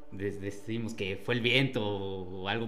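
Noticeable background noise and audible room echo fill this recording. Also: man. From Mexico, Tlaxcala. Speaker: guest sharing paranormal experience. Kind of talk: testimony. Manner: halting, many repeated words.

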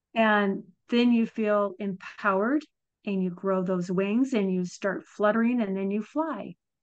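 A woman's unremarkable speaking voice at a medium pitch and a fairly slow pace, over a quiet background. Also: ordinary pitch variation. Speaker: podcast host. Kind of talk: scripted intro and interview.

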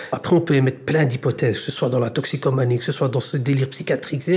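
This man speaks with a Brussels accent in a fairly high, somewhat breathy voice. His pitch varies in an ordinary way. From Brussels, Belgium. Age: 30s. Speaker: social mediation worker. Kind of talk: interview.

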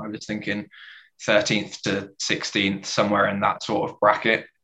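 A man with an unremarkable speaking voice, fairly low pitch and fairly even intonation. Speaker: football fan panelist. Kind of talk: casual group chat about football. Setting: video call.

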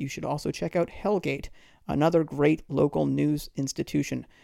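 In an American accent, a man with a fairly high pitch and a dark, mellow tone talks at a fairly quick pace on a very clean recording with a silent background. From Boston area, US. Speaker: podcast host and comedian. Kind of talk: solo podcast monologue.

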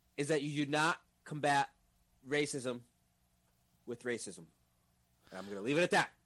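In a plain, everyday voice, a man with a fairly high pitch talks with lively intonation and big swings in loudness. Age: 20s. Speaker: video game streamer. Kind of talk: casual chat. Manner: fast, filler-heavy.

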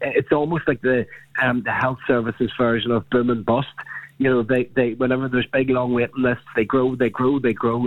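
With a Northern Irish accent, this man talks at a fairly quick pace in a medium pitch. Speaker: politician, party health spokesperson. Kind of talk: radio interview.

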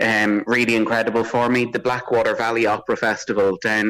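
A man with an Irish accent talks at a fairly quick pace in a fairly low pitch. His intonation is monotone and flat, on a very clean recording with a silent background. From Drogheda, Ireland. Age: 30s. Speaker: opera singer. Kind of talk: interview. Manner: halting.

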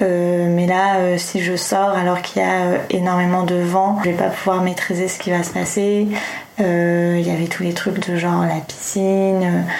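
A woman with a fairly low pitch, speaking fairly slowly in a monotone, flat way, with audible room echo and noticeable background noise. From France, Tours. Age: 30s. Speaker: screenwriter. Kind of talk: testimony. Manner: halting.

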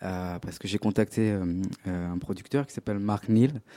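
The recording is very clean, with a silent background and a dry, close sound with no echo. A man speaks in a dark, mellow tone with fairly even intonation. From Paris region, France. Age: young. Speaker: singer-songwriter. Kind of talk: interview. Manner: halting.

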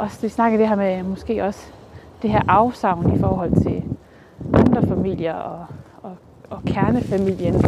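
Amid noticeable background noise, a woman of medium pitch speaks at a fairly slow pace with ordinary pitch variation, big swings in loudness, and long, frequent pauses. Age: 30s. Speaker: podcast host. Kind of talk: casual interview. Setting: outdoors, walking.

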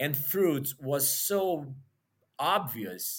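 In a Portuguese accent, a man speaks with lively intonation at a fairly high pitch. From Brazil, Rio de Janeiro. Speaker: nutritionist and health coach. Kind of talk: interview. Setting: remote call.

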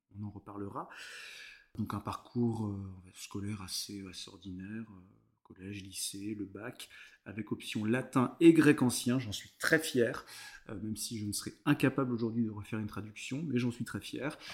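With long, frequent pauses, a man speaks at a moderate pace and a fairly low pitch, his pitch varying in an ordinary way. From France, Vendée (Bocage). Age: 30s. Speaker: cultural heritage worker. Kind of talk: casual interview chat. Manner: hesitant, many fillers.

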